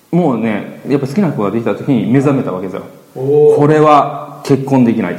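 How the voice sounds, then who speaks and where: Lively intonation and an animated tone carry this fairly quick delivery, with noticeable background noise and audible room echo. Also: man, fairly high pitch for a man. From Chiba, Funabashi. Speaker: entrepreneur, business partner of host. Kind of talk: casual podcast interview. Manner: animated, laughs often.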